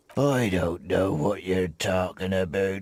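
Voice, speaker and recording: Doing a put-on character voice, a man sounds raspy at a very deep, low pitch with ordinary pitch variation. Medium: video game. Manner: laid-back, drowsy.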